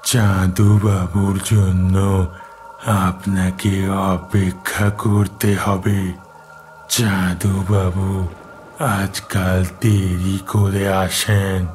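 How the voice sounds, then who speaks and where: Over clear background noise, a man does a cartoonish character voice, very deep and low, flat and monotone, at a very slow pace. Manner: terse, unsettling.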